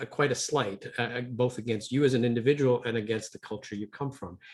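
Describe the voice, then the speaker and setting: Somewhat breathy, a man's medium-pitched voice comes through with an Ontario accent. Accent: Ontario Canadian. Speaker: business owner and leadership educator. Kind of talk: webinar presentation.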